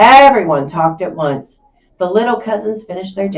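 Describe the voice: Text read aloud in a plain manner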